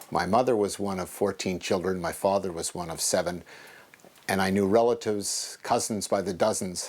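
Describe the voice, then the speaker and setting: With a Montreal accent, a man speaks at a moderate pace in a fairly low pitch, his intonation fairly even. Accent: Montreal English Canadian. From Quebec, Montreal. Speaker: genealogist and retired businessman. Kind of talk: documentary interview.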